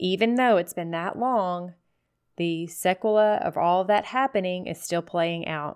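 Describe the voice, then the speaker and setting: A woman with a normal speaking voice talks at a fairly slow pace and medium pitch. Her pitch variation is ordinary, and the background is quiet. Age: 40s. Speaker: podcast host, midwife and hemp farmer. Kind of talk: casual monologue podcast.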